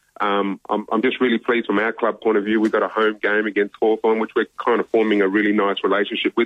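Very fast speech from a man with an Australian accent and a fairly low pitch. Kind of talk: radio interview. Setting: phone call.

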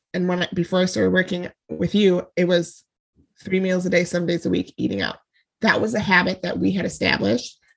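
Using vocal fry, a woman talks at a fairly quick pace with a fairly low pitch. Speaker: fitness podcast co-host. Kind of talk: casual chat.

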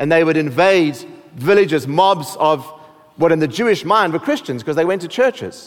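Over noticeable background noise, a man with a high voice speaks at a fairly quick pace with lively intonation. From South Africa. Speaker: pastor. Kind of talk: sermon.

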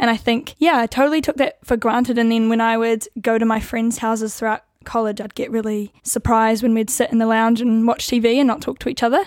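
A woman talks at a very fast pace in a fairly high pitch with fairly even intonation. The recording is very clean, with a silent background. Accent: New Zealand. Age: 20s. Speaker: co-host, law student. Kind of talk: casual chat about faith.

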